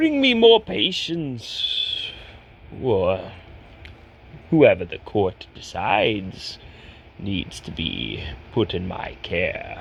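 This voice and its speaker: A put-on character voice at a very slow pace, with long, frequent pauses, big swings in loudness and clear background noise. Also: man. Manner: formal, courteous.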